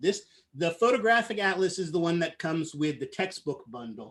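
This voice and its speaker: Lively intonation and an animated tone carry this fairly quick delivery. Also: man. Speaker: university biology lecturer. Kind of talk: online lecture. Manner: fast.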